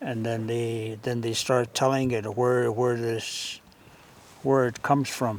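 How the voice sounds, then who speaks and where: A man at a very slow pace, monotone with flat intonation, over noticeable background noise. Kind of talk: oral storytelling / casual talk to camera about learning from elders. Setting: home visit, documentary recording.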